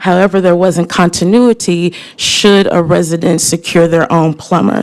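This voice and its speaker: Against noticeable background noise, a woman speaks at a moderate pace in a fairly low pitch, with fairly even intonation and very even loudness. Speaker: community advocate. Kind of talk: public comment presentation. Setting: government committee meeting.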